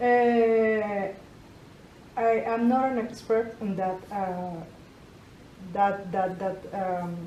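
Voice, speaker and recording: A woman at medium pitch with fairly even intonation, a very slow pace and long, frequent pauses, plus audible room echo. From Colombia. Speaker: entrepreneur. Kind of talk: interview. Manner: halting, many repetitions.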